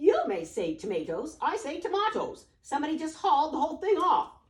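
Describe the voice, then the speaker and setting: A put-on character voice comes at a high pitch and a fairly quick pace. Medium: read story.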